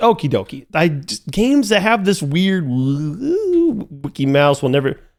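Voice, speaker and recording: A man's pitch swings very widely as he talks, with music playing in the background. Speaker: gaming youtuber. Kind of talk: let's play commentary. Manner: animated.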